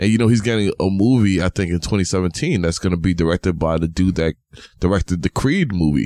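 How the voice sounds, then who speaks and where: Very fast and in a New York accent, a man talks with a very deep, low pitch. His tone is dark and mellow, and his loudness stays very even. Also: ordinary pitch variation, dry, close sound with no echo. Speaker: podcast host. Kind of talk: casual chat. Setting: home studio. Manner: animated.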